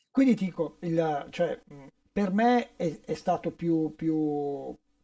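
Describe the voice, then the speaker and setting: In quiet surroundings, a man speaks very slowly. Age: 60s. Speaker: session guitarist; guest. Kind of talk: casual chat. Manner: halting. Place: studio.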